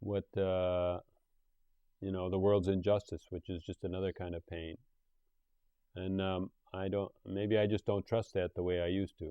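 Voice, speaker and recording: A man's very deep, low voice in an American accent, monotone and flat, at a moderate pace with long, frequent pauses. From USA. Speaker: podcast host. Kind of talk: interview. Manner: casual.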